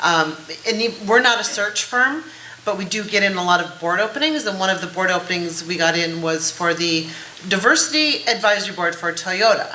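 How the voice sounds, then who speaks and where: Against noticeable background noise and audible room echo, a woman speaks at a medium pitch and a fairly quick pace with lively intonation. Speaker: executive, board placement organization founder. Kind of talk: panel discussion. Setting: conference stage with audience. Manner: fast.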